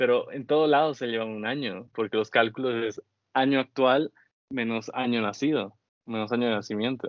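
A man speaks at a moderate pace in a normal speaking voice, his pitch medium. His intonation stays fairly even. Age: 30s. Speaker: podcast host. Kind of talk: casual chat.

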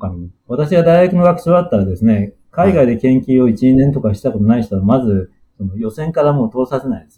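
A man's dark, mellow, somewhat breathy voice at a fairly quick pace, with very wide pitch swings and hardly any pauses. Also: medium pitch for a man. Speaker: planetary scientist. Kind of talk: interview. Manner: halting, many fillers.

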